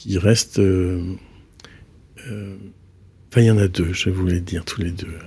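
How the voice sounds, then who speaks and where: A man's very deep, low, somewhat breathy voice with a dark, mellow tone, fairly even intonation and a fairly slow pace broken by long, frequent pauses. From Brittany, north Finistère. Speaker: architect. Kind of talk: interview. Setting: studio. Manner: halting.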